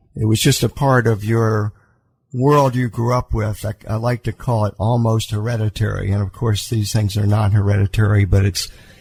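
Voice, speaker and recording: In an American accent, a man with a fairly low pitch speaks at a moderate pace, somewhat breathy, with fairly even intonation and a dry, close sound with no echo. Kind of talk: radio interview answer. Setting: studio.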